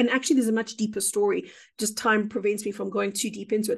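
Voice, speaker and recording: Her voice is somewhat breathy, and this woman speaks at a fairly high pitch. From South Africa. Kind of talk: interview about spiritual experiences.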